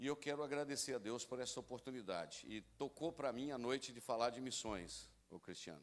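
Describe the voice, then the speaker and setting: A man speaks at a fairly quick pace with hardly any pauses and some vocal fry. His pitch is medium, with ordinary variation. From Brazil, rural area. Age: 60s. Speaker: pastor. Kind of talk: sermon. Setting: church.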